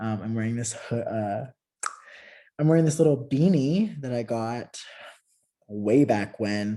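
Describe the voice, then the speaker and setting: The speech moves at a fairly slow pace with long, frequent pauses. Pitch variation is ordinary. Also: man, medium pitch for a man. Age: 20s. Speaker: podcast host. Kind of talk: casual solo podcast monologue. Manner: animated. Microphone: new podcast mic, trying to stay far from it.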